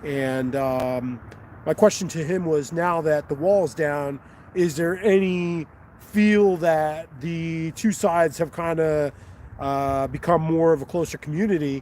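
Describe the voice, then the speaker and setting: Speaking fairly slowly with an American accent, a man has a fairly high pitch and ordinary pitch variation. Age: 50s. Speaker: fishing vlogger. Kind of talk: live stream commentary. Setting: outdoors on a riverbank. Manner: casual, halting with fillers.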